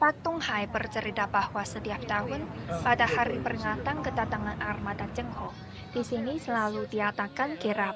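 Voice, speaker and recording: With a Chinese accent, a woman talks at a moderate pace while music plays in the background. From China. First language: Chinese (speaking Indonesian). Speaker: student documentary narrator. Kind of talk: scripted narration. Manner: formal.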